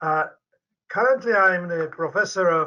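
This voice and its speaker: In a Polish accent, the speaker talks at a fairly slow pace with a bright, sharp tone. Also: man. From Poland. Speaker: medical professor and researcher. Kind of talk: interview. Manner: halting.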